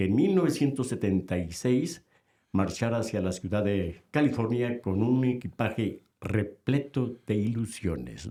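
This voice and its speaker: Talking at a fairly slow pace, a man with a fairly low pitch and a dark, mellow tone uses lively intonation. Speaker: radio host. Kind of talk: radio-style show introduction.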